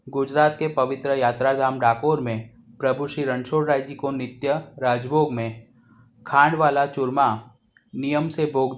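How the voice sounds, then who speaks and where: A man at medium pitch in a calm tone, fairly even intonation, with a Gujarati accent, on a very clean recording with a silent background. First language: Gujarati (speaking Hindi). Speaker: cooking channel host. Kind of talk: cooking tutorial. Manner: calm, instructional.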